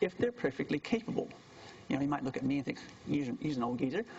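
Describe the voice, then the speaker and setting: A man speaks in a fairly high pitch with very wide swings up and down. There is noticeable background noise. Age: 60s. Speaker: university lecturer. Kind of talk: lecture.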